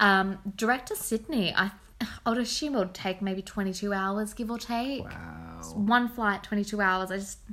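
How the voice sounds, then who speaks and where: A woman's ordinary speaking voice at medium pitch, fairly slow with hardly any pauses and fairly even intonation. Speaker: podcast host. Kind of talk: casual chat.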